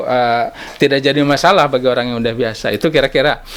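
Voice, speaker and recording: This is a man speaking. His pace is very fast. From Banten, Indonesia (Bayah, Sundanese village). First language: Sundanese (speaking Indonesian). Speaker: government language office head. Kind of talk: talk show interview. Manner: hesitant, many fillers.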